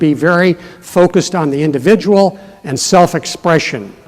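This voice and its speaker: This man has a high-pitched voice with ordinary pitch variation. Noticeable background noise runs underneath. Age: 60s. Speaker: keynote speaker. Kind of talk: keynote speech.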